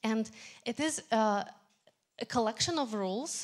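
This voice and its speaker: A woman's fairly high voice with a non-native accent. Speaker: tech meetup speaker. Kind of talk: lightning talk.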